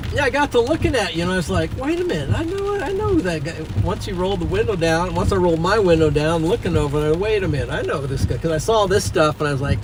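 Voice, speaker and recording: A man talking at a very fast pace with hardly any pauses, audible room echo and noticeable background noise. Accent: American. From Nebraska. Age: 60s. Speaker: storm chaser streamer. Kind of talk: casual chat.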